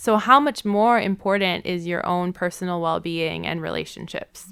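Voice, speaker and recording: A woman with an American accent has an unremarkable speaking voice, fairly low in pitch, at a moderate pace with ordinary pitch variation. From US Midwest, Milwaukee, Wisconsin. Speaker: therapist. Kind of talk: podcast interview.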